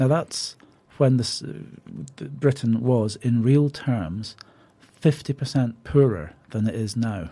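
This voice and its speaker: In a Scottish accent, a man with a medium pitch and a dark, mellow, somewhat breathy tone speaks at a very slow pace. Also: lively intonation. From Scotland. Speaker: parliamentary candidate. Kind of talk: radio interview.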